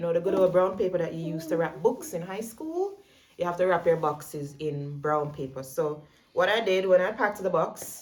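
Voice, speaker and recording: A woman speaks with a Jamaican accent at a fairly quick pace. Her pitch is fairly low, with ordinary variation. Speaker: vlogger. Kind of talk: tutorial. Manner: fast; casual.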